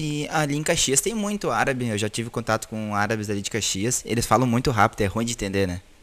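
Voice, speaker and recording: The speaker talks at a very fast pace with hardly any pauses and ordinary pitch variation. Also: man, medium pitch for a man. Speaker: podcast host. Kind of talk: interview. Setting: video call. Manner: halting.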